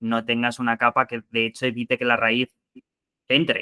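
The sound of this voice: The man's tone is bright and sharp, yet clear and smooth, with monotone, flat intonation. His voice sounds dry and close, without any echo.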